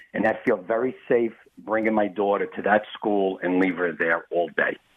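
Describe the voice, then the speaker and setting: A man's fairly low voice with a Bronx accent, at a moderate pace, with fairly even intonation and very even loudness. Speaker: caller. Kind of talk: phone call to radio show. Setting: phone call.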